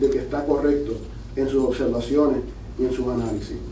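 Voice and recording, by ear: A man's dark, mellow tone with audible room echo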